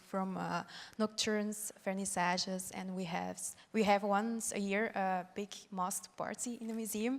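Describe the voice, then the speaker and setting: With an ordinary speaking voice, this woman keeps a medium pitch, a moderate pace and fairly even intonation. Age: 20s. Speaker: museum youth volunteer. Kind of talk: panel discussion.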